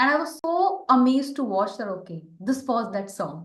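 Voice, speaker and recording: Very wide pitch swings come through amid audible room echo. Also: woman. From India. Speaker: podcast host. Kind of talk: casual interview chat.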